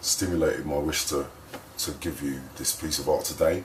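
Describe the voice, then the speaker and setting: Audible room echo and noticeable background noise are present. Through them, a man speaks at a moderate pace. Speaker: spoken word poet. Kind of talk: casual vlog intro before poem. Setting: hotel room.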